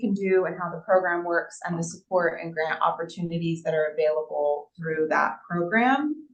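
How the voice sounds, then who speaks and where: A woman's fairly low voice with lively intonation and hardly any pauses, music in the background. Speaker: town board member. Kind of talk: public meeting report. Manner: loud; casual with many fillers.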